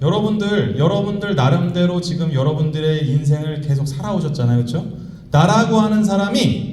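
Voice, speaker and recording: A man's animated tone at a moderate pace, with audible room echo and noticeable background noise. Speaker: economist and professor giving a seminar talk. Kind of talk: motivational lecture to a live audience. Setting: convention center stage with audience. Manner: animated, addresses audience directly.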